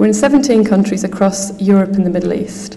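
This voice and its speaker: A woman's medium-pitched voice comes through audible room echo, with noticeable background noise underneath. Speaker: conference speaker, translation company manager. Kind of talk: conference talk. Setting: conference hall with audience. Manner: fast.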